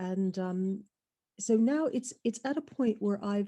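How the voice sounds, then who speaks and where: A somewhat breathy, medium-pitched female voice with a dark, mellow tone. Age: 60s. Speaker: webinar attendee asking a question. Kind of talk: audience question in a webinar Q&A. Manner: halting.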